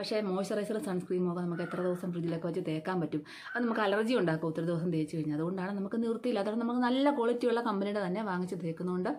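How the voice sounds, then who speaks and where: Amid noticeable background noise, a woman talks at a medium pitch with ordinary pitch variation. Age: 50s. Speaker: beautician and vlogger. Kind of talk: beauty tutorial vlog. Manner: casual conversational.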